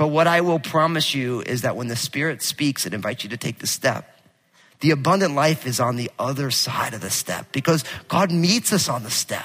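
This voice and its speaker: Loud and animated, a man talks at a fairly high pitch with a bright, sharp tone and vocal fry. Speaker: pastor. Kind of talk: sermon. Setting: church.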